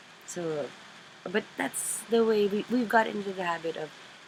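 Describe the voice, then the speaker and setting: A woman with a Filipino accent talks over noticeable background noise. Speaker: craft vlogger. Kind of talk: casual chat. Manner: halting.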